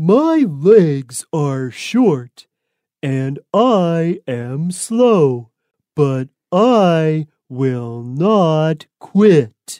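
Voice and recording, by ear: A woman performs a put-on character voice with a low pitch and a dark, mellow tone. She speaks at a very slow pace, with big pitch swings.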